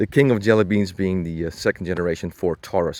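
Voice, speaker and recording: A man with a non-native accent speaks fairly quickly at a fairly low pitch, with ordinary pitch variation and a dry, close sound with no echo. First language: not English. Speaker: car enthusiast YouTuber. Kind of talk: car walkaround review. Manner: casual, hesitant with many fillers.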